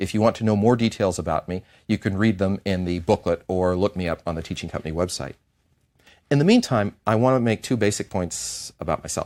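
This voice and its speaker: A man with an American accent speaks at a fairly quick pace in a fairly low pitch, with a plain, everyday voice, ordinary pitch variation, and a dry, close sound with no echo on a very clean recording with a silent background. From United States. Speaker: history professor. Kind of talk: lecture.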